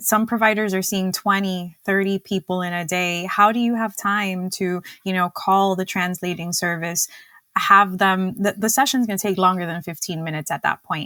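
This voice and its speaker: Recorded dry and close with no echo, a woman speaks at a medium pitch and moderate pace with a bright, sharp tone and fairly even intonation. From Cuba. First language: Spanish. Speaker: dietitian and diabetes educator. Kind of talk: podcast interview.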